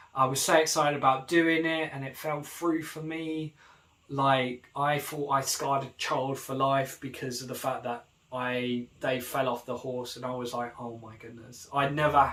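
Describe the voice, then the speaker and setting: A man with a British accent, big swings in loudness and noticeable background noise. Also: medium pitch for a man. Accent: British accent, remarked on by others at camp. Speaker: vlogger. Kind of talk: casual vlog monologue. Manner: fast; animated.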